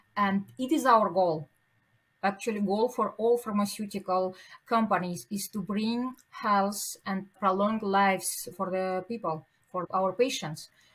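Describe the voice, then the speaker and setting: A woman speaks at a fairly slow pace with a non-native accent, her voice somewhat breathy. Her pitch is medium, with ordinary variation. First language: not English. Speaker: pharmaceutical executive. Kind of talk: podcast interview. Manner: halting.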